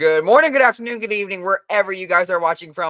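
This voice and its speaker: A man speaks with lively intonation and an animated tone. His tone is bright and sharp. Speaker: sports podcast co-host. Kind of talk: casual chat.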